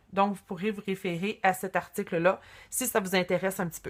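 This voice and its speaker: At a moderate speed, a woman talks with a medium pitch. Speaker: craft tutorial host. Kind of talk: tutorial. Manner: hesitant, many fillers.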